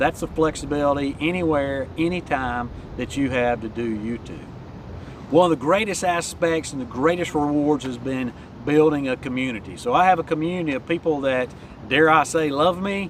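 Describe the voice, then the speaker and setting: Noticeable background noise behind a man's fairly high voice, moderate in speed, its pitch varying in an ordinary way. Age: 60s. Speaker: YouTube coach. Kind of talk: vlog tutorial.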